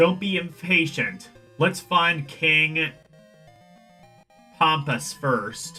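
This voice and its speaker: In a put-on character voice pitched high, a man talks at a very slow pace with long, frequent pauses while faint music plays in the background. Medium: game stream. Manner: blunt, teasing.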